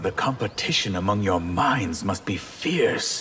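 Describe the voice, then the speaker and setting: In a put-on character voice, a man talks at a fairly low pitch and a fairly slow pace with lively intonation, over clear background noise. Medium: video game. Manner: wry, confident.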